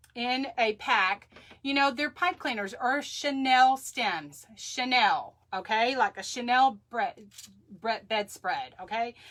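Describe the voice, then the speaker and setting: A woman with an American accent and a high voice speaks very slowly, her intonation lively. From Texas. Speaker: crafter. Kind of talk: live craft tutorial. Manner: chatty, halting with fillers.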